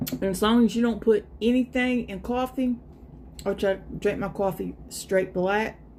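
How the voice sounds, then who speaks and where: Her voice sits fairly high, and the woman's pitch varies in an ordinary way. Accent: American. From US South, South Carolina. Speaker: live streamer. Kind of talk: casual chat.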